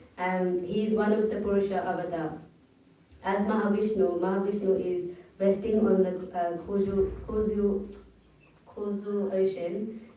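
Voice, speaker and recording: A woman speaks at medium pitch with monotone, flat intonation and long, frequent pauses. Audible room echo and noticeable background noise fill the recording. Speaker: religious class speaker. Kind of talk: religious class discussion. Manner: fast.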